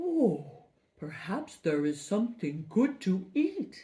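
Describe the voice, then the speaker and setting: Putting on a character voice, a woman speaks at a medium pitch and a very slow pace with very wide pitch swings. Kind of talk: children's storytelling. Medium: read story. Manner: eager, breathy exclamations starting with "oh".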